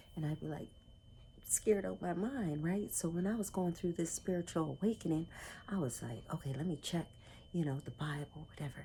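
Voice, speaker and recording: A woman whispers in a somewhat breathy voice. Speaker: self-help vlogger. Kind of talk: personal vlog talk. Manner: whispering; halting.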